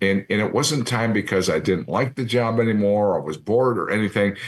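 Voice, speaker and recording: A plain, everyday voice speaks at a moderate pace. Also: man. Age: 60s. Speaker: retired TV sports anchor. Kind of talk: interview. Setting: studio.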